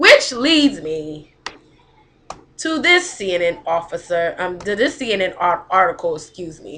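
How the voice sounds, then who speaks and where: Speaking at a fairly slow pace over noticeable background noise, a woman with a medium pitch makes very wide pitch swings and big swings in loudness. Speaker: web series host. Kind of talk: reading aloud. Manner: slurred speech.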